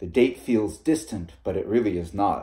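With a dark, mellow tone, a man speaks at a moderate pace against a quiet background. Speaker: reader of fiction. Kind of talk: reading aloud a short story. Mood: calm narrative. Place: home room. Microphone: phone near.

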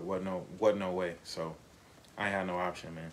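A man talks fairly quickly, and the room echo is audible. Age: 30s. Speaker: father. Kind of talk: casual chat.

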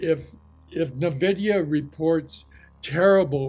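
With faint music behind him, a man talks, his pitch varying in an ordinary way. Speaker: market commentator. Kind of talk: commentary. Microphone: webcam.

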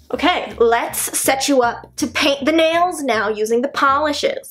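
Against faint background music, a woman talks at a high pitch and fairly slow pace with ordinary pitch variation. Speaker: beauty vlogger. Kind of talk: casual vlog chat. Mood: playful, joking. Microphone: phone near.

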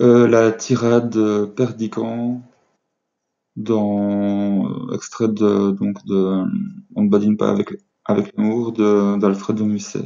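Fairly low in pitch, a man speaks at a very slow pace in a monotone, flat intonation, with long, frequent pauses. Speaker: amateur reader. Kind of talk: casual talk to camera. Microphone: webcam.

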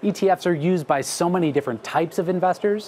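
A man talks fairly quickly, with light background noise present. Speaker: investment research director. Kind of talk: TV panel discussion. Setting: studio. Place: studio. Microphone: lapel.

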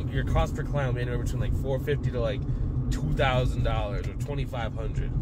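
Loud background noise under a man's dry voice with no echo. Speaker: business coach. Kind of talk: casual vlog chat. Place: car. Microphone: phone near.

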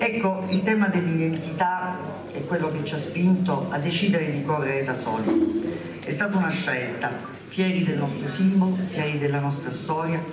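A woman speaks at a moderate pace with a fairly low pitch. Noticeable background noise and audible room echo surround her. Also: ordinary pitch variation. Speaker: local politician introducing leader. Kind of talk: political rally speech. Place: hall.

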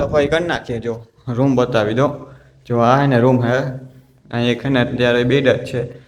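Flat, monotone intonation from a man at a medium pitch. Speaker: village vlogger. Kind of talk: casual vlog narration. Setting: village farm and street. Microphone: echo in empty room.

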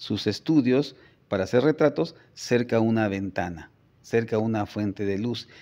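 A man speaks at a fairly slow pace with a medium pitch and a dark, mellow tone. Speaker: photographer and communications professor; interviewee. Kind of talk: interview. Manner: hesitant repetitions. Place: office. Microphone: phone near.

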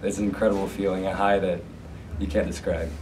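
A man's low-pitched voice, dark and mellow in tone, with fairly even intonation and audible room echo

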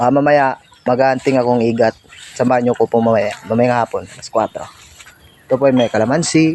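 A man speaks at a very fast pace with long, frequent pauses, his pitch medium and intonation fairly even. The sound is dry and close with no echo, though noticeable background noise is present. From Negros Occidental, Philippines (Bacolod area). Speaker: vlogger. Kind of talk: casual vlog tour.

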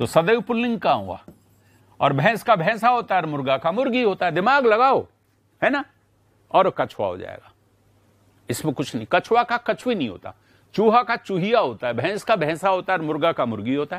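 A man with a high pitch sounds animated, using very wide pitch swings at a moderate pace with long, frequent pauses, in a dry sound with no echo and a quiet background. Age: 70s. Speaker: Hindi grammar teacher. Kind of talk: live online class. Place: studio. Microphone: lapel.

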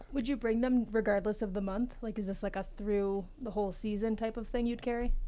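Her tone dark and mellow, a woman with a fairly high pitch talks at a fairly quick pace with fairly even intonation. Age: 30s. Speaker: podcast co-host. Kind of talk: casual chat.

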